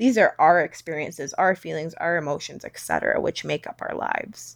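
In a Western Canadian accent, a woman speaks at a fairly quick pace in a very clean recording with a silent background. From Canada, British Columbia (Langley). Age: 20s. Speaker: podcaster. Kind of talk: solo monologue. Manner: casual, rambling with fillers.

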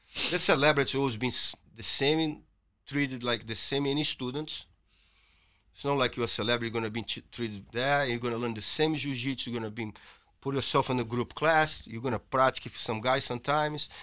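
Speaking in a Portuguese accent, a man with a medium pitch and a bright, sharp tone goes at a very fast pace. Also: fairly even intonation. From Brazil. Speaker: jiu-jitsu instructor. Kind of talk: casual chat.

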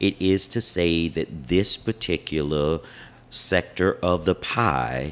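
In a very clean recording with a silent background, a man with a very deep, low pitch and an American accent talks at a very slow pace with ordinary pitch variation. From US South, Wilmington, North Carolina. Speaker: civil rights activist and Navy veteran. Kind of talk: interview. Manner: formal.

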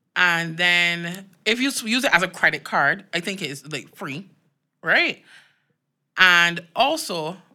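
A woman sounds animated, her tone bright and sharp at a fairly low pitch. The recording is very clean, with a silent background. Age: 30s. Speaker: podcast host. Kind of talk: scripted-sounding podcast chat.

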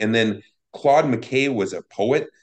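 The speaker is a man. The background is quiet. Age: 50s. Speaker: podcast host on violence prevention. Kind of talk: casual interview conversation. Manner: halting, many fillers.

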